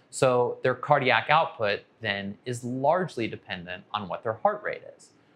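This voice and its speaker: A man's bright, sharp voice at a fairly slow pace, with lively intonation. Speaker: anesthesia physician educator. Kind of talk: educational explainer. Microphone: lapel.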